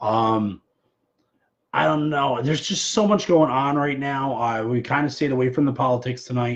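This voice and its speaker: A man with an ordinary speaking voice talks at a fairly quick pace. His pitch is medium, with ordinary pitch variation. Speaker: show host. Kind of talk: casual live stream chat. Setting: live stream on personal social media page.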